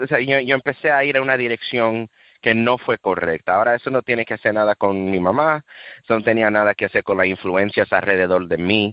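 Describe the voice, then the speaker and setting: A man's medium-pitched voice varies in pitch by an ordinary amount. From USA, Dominican and Cuban family. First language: English (speaking Spanish). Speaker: street preacher. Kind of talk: testimony. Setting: radio interview. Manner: halting, self-correcting.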